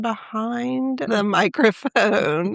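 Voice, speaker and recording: A woman with a Southern US accent speaks at a fairly high pitch, with very wide pitch swings. The recording is very clean, with a silent background and a dry, close sound with no echo. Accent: Southern drawl. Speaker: branding and social media expert. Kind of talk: interview questions.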